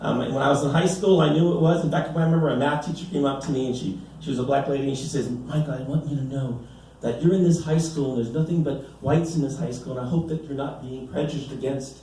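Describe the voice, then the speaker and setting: A man with a fairly high pitch and ordinary pitch variation talks at a very fast pace. Audible room echo and noticeable background noise fill the recording. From US, Mexican-American family. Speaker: stand-up comedian. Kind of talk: stand-up. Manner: animated, many filler repeats.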